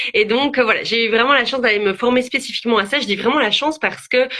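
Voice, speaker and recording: Her pitch fairly high, a woman with a Belgian accent speaks with ordinary pitch variation. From Belgium. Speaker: psychologist. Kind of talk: interview. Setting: video livestream. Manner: hesitant, many fillers.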